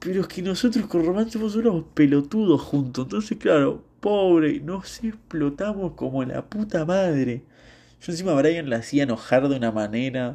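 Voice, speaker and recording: A man's fairly high, dark and mellow voice with very wide pitch swings, a Rioplatense accent and a moderate pace, over a quiet background. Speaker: podcaster. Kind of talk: casual monologue. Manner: rambling, halting.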